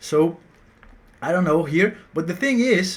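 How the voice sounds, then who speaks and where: Ordinary pitch movement in a man's high voice. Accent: Portuguese. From Brazil. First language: Portuguese. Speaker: math teacher. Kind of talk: tutorial. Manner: halting, with repetitions.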